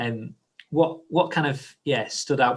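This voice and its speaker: At a moderate speed, the somewhat breathy speech shows ordinary pitch variation. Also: man. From northern England, Hull. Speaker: church leader hosting discussion. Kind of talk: live group discussion. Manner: halting, many fillers and restarts.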